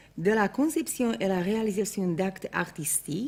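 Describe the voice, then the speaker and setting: In a Slovak accent, a woman speaks at a very slow pace with lively intonation. Her medium-pitched voice has a dark, mellow tone and is somewhat breathy. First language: Slovak (speaking French). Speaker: art historian. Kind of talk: lecture. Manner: formal.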